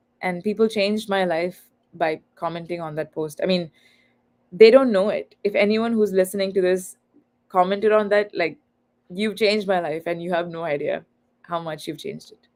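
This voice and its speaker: With a Tamil accent, a woman talks with fairly even intonation and big swings in loudness. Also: medium pitch for a woman, moderate pace. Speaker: author and content creator. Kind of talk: livestream podcast interview. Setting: online live stream.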